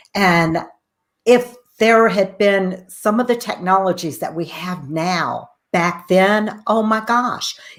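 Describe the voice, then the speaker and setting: A woman's medium-pitched, plain, everyday voice. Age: 60s. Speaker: talk show host. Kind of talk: interview.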